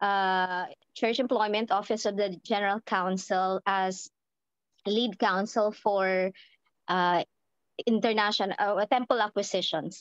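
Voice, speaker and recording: With a Filipino accent, a woman speaks at a fairly slow pace with long, frequent pauses, fairly even intonation and very even loudness, in a dry, close recording with no echo and a quiet background. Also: medium pitch for a woman. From Philippines. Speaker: church lawyer. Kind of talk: casual sharing in online meeting. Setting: video call, camera off.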